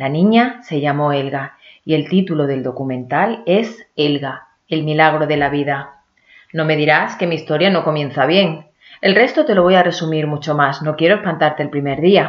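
This woman's voice sits at a very deep, low pitch. Her pitch variation is ordinary. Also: moderate pace. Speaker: tourism consultant. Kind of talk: scripted narration.

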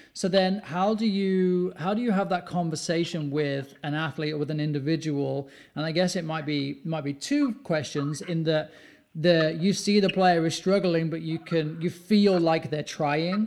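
With a British accent, a man talks at a high pitch and a moderate pace. His pitch varies in an ordinary way. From UK. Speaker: podcast host and youth soccer coach. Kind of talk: casual interview.

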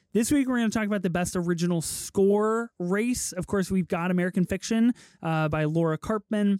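A man talks at a fairly quick pace with a high pitch and very even loudness. The recording is very clean, dry and close, with no echo and a silent background. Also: ordinary pitch variation. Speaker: film podcast co-host. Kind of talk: casual chat. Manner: casual, laid-back.

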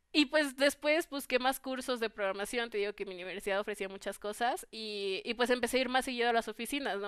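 Speaking at a fairly quick pace with a Mexican accent, a woman with a fairly high pitch shows ordinary pitch variation. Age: 20s. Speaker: computer engineering student. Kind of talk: interview.

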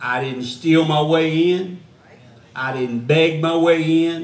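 With a Gulf Coast accent, a man with a fairly high pitch talks at a very slow pace amid noticeable background noise and audible room echo. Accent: Southern US (Gulf Coast). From US South. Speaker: missionary evangelist. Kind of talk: sermon. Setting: church. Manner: preaching from the floor at a lectern.

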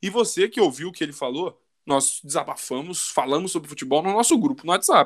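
A man speaks at a very fast pace. The sound is dry and close with no echo. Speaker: football podcast host. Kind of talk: casual chat.

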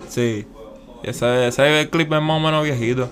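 Over noticeable background noise, a man speaks very slowly at a medium pitch. His intonation stays fairly even. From Puerto Rico, San Juan (Santurce). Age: 20s. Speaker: skateboarder. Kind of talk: casual interview.

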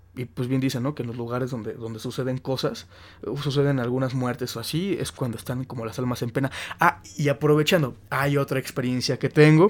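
A man at a medium pitch and a fairly quick pace. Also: ordinary pitch variation. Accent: Mexican. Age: 20s. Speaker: podcast host. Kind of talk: casual chat.

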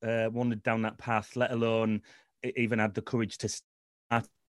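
A plain, everyday voice at a moderate pace, with a dry, close sound and no echo. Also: man. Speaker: businessman. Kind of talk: casual chat.

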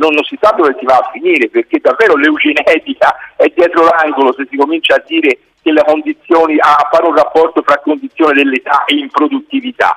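Someone talks at a fairly quick pace. The sound is dry and close, with no echo. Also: man. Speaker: union pensioners' secretary. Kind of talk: interview. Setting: phone call.

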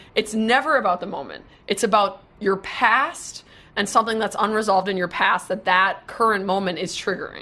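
A woman talks at a moderate pace in an American accent, with a plain, everyday voice at medium pitch and ordinary pitch variation. The recording is very clean, with a silent background. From Wisconsin. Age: 20s. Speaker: social media marketer. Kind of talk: casual interview. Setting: live video stream.

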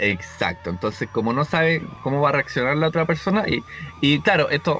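Speaking with a Chilean accent, a man uses lively intonation. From Chile, Viña del Mar. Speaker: podcast co-host. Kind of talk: casual chat.

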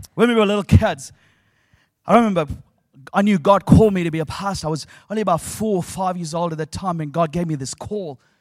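A man with a New Zealand accent, high-pitched and very fast, with an animated, warm tone and long, frequent pauses, on a very clean recording with a silent background. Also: ordinary pitch variation. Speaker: preacher. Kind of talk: sermon. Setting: stage with audience. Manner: warm, humorous and engaging, with a call-and-response style.

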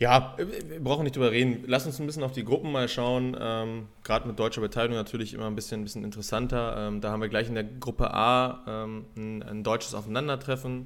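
Intonation fairly even, a man speaks at a very fast pace. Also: medium pitch for a man. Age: 30s. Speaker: beach volleyball podcast co-host. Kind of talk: casual chat.

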